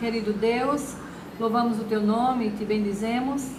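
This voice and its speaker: Intonation stays fairly even. Room echo is audible, along with noticeable background noise. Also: woman. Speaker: Sunday school teacher. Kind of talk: Bible study lesson. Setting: live stream.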